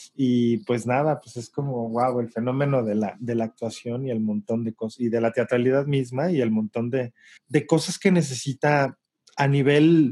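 Dark and mellow in tone, this voice keeps a moderate pace. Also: man, medium pitch for a man, fairly even intonation, quiet background. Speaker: theatre director. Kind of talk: interview. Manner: halting.

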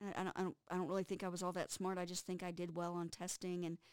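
A woman with a Texas accent, fairly low in pitch, at a very fast pace, in a dry, close sound with no echo. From Texas (Amarillo). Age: 50s. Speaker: college instructor. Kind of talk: interview.

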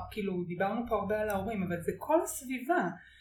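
Amid noticeable background noise and audible room echo, a woman with a fairly high voice speaks at a fairly quick pace. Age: 40s. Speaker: author writing a book on open relationships. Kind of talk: casual chat.

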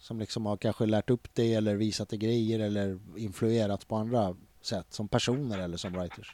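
On a very clean recording with a silent background and a dry, close sound with no echo, a man speaks in a fairly low, dark, mellow voice with monotone, flat intonation. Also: moderate pace. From Stockholm (Tensta/Hjulsta). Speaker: podcast host. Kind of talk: casual interview.

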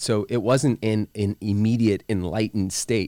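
A man speaks in an ordinary speaking voice at a fairly slow pace, his fairly low pitch carrying ordinary pitch variation in a dry, close sound with no echo. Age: 40s. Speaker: life coach and entrepreneur. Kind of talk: casual interview.

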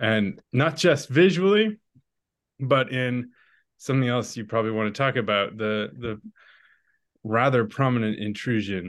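A man talks at a fairly slow pace against a quiet background. His pitch is medium, with ordinary variation. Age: 40s. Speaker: novelist. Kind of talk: casual chat.

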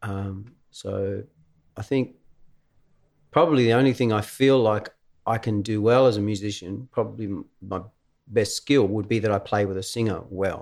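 A man's fairly low voice with an Australian accent, fairly even intonation and a moderate pace. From Tasmania, Australia (Devonport). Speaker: musician and musical director. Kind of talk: casual chat.

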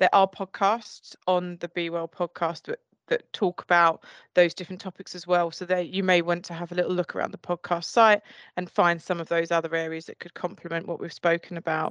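A woman with an Essex accent, fairly quick and flat in a monotone, over a quiet background. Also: dry, close sound with no echo. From Essex, England. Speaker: podcast host. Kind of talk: casual chat.

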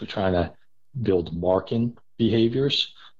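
A plain, everyday voice from a man with an American accent, fairly low in pitch, with ordinary pitch variation at a fairly slow pace. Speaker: spaniel trainer. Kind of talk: casual interview chat.

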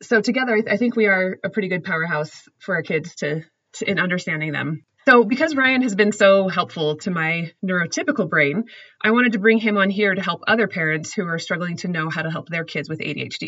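At a fairly quick pace and medium pitch, a woman speaks in a normal speaking voice with lively intonation. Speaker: podcast host on motherhood. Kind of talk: casual conversational podcast. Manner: warm, encouraging.

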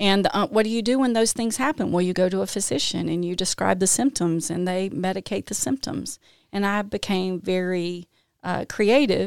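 A woman with a Mississippi accent, medium in pitch, with ordinary pitch variation, in a very clean recording against a silent background, the sound dry and close with no echo. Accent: US Southern (Mississippi). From Mississippi, Jackson. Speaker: recovery advocate, health executive. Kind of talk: casual interview chat. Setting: studio.

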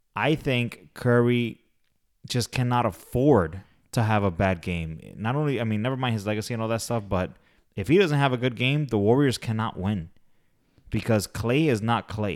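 A man talks in an ordinary speaking voice. His pitch is medium, with ordinary pitch variation. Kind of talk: live commentary over the game, play-by-play with banter. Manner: fast, excitable, calling plays and scores in quick bursts.

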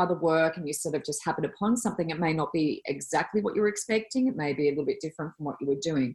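A woman with an Australian accent speaks in a fairly low pitch. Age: 40s. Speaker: podcast co-host and psychic reader. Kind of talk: casual interview. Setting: video call.

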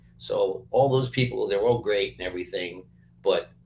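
The speech moves at a moderate pace with an American accent. Music plays in the background. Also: man. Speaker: music producer. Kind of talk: casual interview chat.

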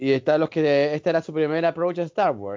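Speaking at a fairly quick pace, a man has a Chilean accent. His pitch is fairly high, with ordinary variation. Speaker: film fan guest. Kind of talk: casual chat.

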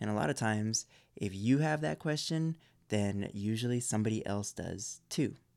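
This man has a plain, everyday voice, fairly low in pitch, with lively intonation at a moderate pace. The recording is very clean, with a silent background. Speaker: podcast host. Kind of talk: podcast intro and outro, ad read.

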